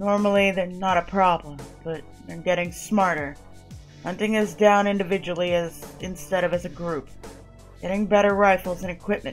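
Over clear music, a woman puts on a booming, gravelly character voice at medium pitch, moving at a moderate pace with long, frequent pauses. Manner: confident, friendly, laid-back.

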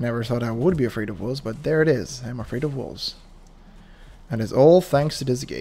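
Talking at a fairly quick pace, a man has a dark, mellow tone, a medium pitch, and ordinary pitch variation. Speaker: gaming youtuber. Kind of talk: gameplay commentary. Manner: animated; quiet at times.

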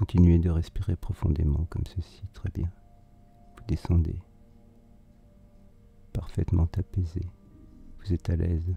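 A man with a very deep, low voice talks fairly slowly, leaving long, frequent pauses. His tone is calm and soothing with fairly even intonation, the sound is dry and close with no echo, and music plays in the background. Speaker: hypnotherapist. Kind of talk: hypnosis induction session. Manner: slow, calm, soothing.

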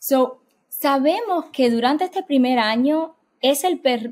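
At a fairly slow pace, a woman speaks in a high voice with lively intonation. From Cuban-American immigrant family. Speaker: developmental psychologist; guest. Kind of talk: interview. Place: home room. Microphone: webcam.

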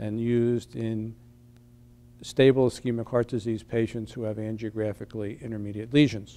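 A man speaks in a flat monotone. His tone is dark and mellow. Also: moderate pace. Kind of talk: interview statement.

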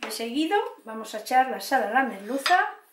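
A woman speaks in a high voice, with audible room echo and light background noise. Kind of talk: cooking tutorial. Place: kitchen. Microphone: camera far.

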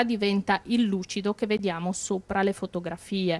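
Her pitch shifts in an ordinary way. She keeps a moderate tempo. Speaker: production manager. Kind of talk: interview. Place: workshop. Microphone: handheld.

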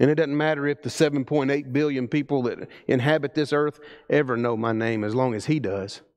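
A man with a Southern US accent speaks at a moderate pace and fairly even intonation against a quiet background. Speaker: preacher. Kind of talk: sermon. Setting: church. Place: church.

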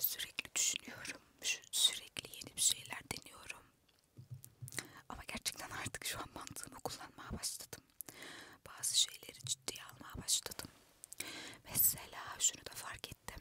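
A woman keeps to a fairly slow pace as she whispers. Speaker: ASMR content creator. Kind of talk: casual talk to camera. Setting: inside a parked car. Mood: reflective, self-questioning. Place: car. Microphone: handheld.

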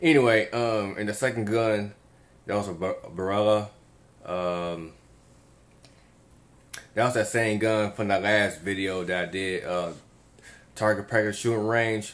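Leaving long, frequent pauses, a man speaks slowly in a fairly low pitch with fairly even intonation. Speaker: vlogger. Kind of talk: casual vlog chat. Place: home room. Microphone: phone near.

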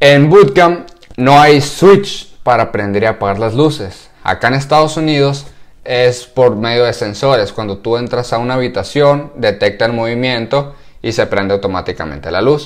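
The background stays quiet. This man speaks at a moderate pace. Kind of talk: casual vlog chat. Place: home room. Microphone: lapel.

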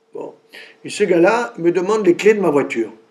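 A man speaking at a moderate pace. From southern France, Montpellier; southern France. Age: 60s. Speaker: cancer surgeon and professor; professor interviewee. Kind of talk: interview. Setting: cancer institute. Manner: animated; halting. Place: meeting room.

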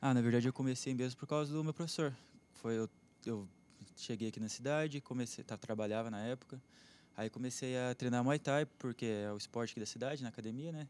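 Fairly even in intonation, a man speaks at a fairly quick pace, the sound dry with no echo. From Xambrê, Paraná, Brazil. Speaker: jiu-jitsu athlete. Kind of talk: TV interview. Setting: TV studio. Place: studio. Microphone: handheld.

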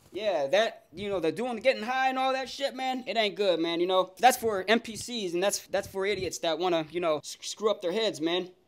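A high-pitched man with an American accent talks at a moderate pace with lively intonation. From Miami, Florida. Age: 20s. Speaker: prank video-chat streamer. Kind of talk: casual chat with strangers on random video chat. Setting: video call. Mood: playful, flirty, joking. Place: home room. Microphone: webcam.

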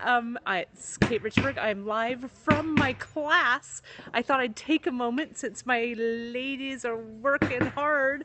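Over loud background noise, a woman talks at a very slow pace with ordinary pitch variation. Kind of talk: casual livestream chat. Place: hall. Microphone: phone near.

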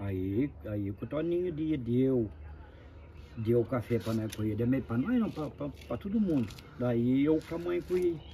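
Speaking at a very slow pace, a man uses a medium pitch with very wide pitch swings. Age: 50s. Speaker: uncle telling family history. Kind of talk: oral history interview.

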